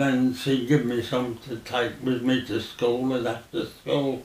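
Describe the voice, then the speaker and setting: A man with a Birmingham accent speaks at a fairly slow pace in a medium pitch. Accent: Birmingham (Brummie). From Birmingham, Balsall Heath. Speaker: oral history interviewee. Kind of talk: oral history interview. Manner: halting.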